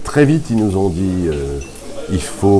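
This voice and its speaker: Very deep, low male voice at a fairly slow pace over noticeable background noise. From Alsace, France (Mulhouse); Alsace, France. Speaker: tournament director, former tennis player. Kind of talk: interview. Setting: at a tennis tournament. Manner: hesitant with fillers. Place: hall. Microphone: phone near.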